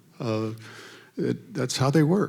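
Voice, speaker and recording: The man's pitch sits in the medium range and varies in an ordinary way. He talks at a fairly slow pace. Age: 60s. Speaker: attorney and local official. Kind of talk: public talk at community meeting.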